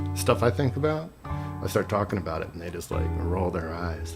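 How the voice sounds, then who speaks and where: A man's very deep, low voice in an American accent, at a fairly quick pace, with music in the background. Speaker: former monk. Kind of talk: personal reflective talk.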